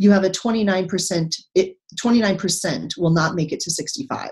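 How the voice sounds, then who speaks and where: A somewhat breathy voice with an American accent is heard against a quiet background. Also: woman. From Texas. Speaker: retired naval officer and economics professor. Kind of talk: interview.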